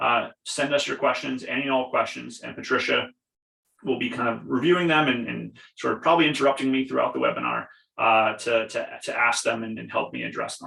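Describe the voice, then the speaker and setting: A man talks at a fairly quick pace with a Long Island accent. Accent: Long Island New York. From Long Island, New York. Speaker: program representative. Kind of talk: webinar presentation. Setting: video call from home basement. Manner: fast.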